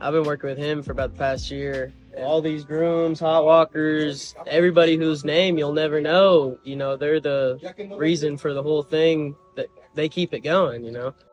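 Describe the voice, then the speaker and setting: Music plays in the background as a man talks at a moderate pace. His fairly high voice has a monotone, flat intonation. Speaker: young jockey. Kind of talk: casual interview.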